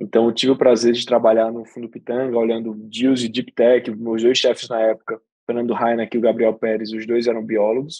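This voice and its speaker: A man's fairly quick, monotone delivery with a northeastern Brazilian accent, medium pitch, a dark and mellow tone, hardly any pauses and a dry, close sound with no echo. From Brazilian Northeast, Aracaju. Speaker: venture capital investor. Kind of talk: podcast interview.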